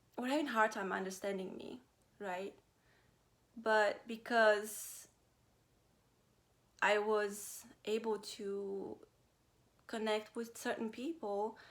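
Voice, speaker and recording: With a Romanian accent, a woman of fairly high pitch speaks at a very slow pace with long, frequent pauses, fairly even intonation and big swings in loudness. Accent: Romanian accent, noticeable. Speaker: vlogger. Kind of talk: personal vlog talk. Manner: halting, many fillers.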